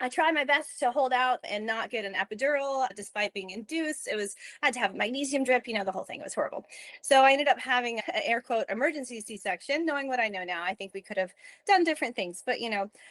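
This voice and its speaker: The speaker has a Southern US accent and a very fast pace with lively intonation. The sound is dry and close, with no echo. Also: woman, high pitch for a woman. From US South. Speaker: lactation consultant. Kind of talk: interview.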